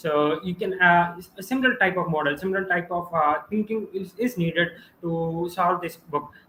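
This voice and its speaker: A man with an Indian accent, high pitch, ordinary pitch variation and a moderate pace, with noticeable background noise. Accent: Indian English (Telugu). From India, Andhra Pradesh (Visakhapatnam). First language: Telugu. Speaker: student author, math YouTuber. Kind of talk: live stream interview. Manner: hesitant, many fillers.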